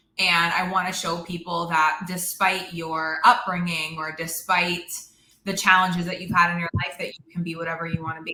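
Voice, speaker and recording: In a room with audible echo, a woman talks at a moderate pace in a fairly low pitch with monotone, flat intonation. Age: 30s. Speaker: network marketer. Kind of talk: interview. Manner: loud.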